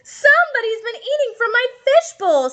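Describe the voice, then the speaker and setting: A woman does a squeaky, put-on character voice at an extremely high pitch, with lively intonation and a moderate pace. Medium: read story.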